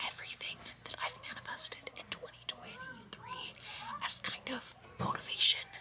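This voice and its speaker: The speech moves at a fairly slow pace, with noticeable background noise behind it. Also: woman. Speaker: youtuber. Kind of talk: casual vlog. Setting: on vacation with family.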